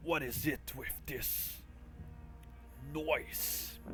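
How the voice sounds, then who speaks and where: A man in a put-on character voice over loud background noise. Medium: actual play. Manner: gruff, haughty.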